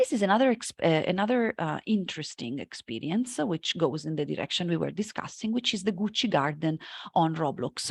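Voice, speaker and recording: In a dry, close sound with no echo and a quiet background, a woman with an Italian accent speaks at a fairly low pitch, using vocal fry and very wide pitch swings. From Italy, Florence. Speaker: marketing lecturer. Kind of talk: conference talk. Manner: hesitant, many fillers.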